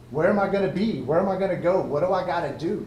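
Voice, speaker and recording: A man with a Texan accent talks loud and at a very fast pace in a high pitch. Audible room echo surrounds his voice. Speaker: Air Force veteran and college student. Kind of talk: ceremony speech.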